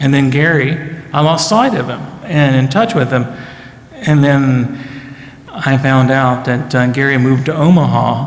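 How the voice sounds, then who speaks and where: A man with a fairly high pitch speaks fairly slowly, with long, frequent pauses and ordinary pitch variation. Audible room echo and noticeable background noise fill the recording. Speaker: pastor. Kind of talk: speaker introduction. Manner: hesitant, many fillers.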